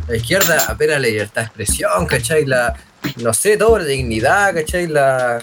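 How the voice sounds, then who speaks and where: A man with a Chilean accent speaks at a fairly high pitch with very wide pitch swings. Noticeable background noise sits behind him. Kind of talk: casual chat.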